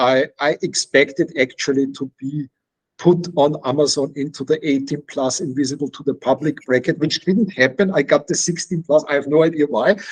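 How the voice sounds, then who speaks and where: A man with a slight non-native accent speaks at a moderate pace and a fairly high pitch, with ordinary pitch variation. The sound is dry and close, with no echo. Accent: slight foreign. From Austria. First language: Czech. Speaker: author. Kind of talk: interview.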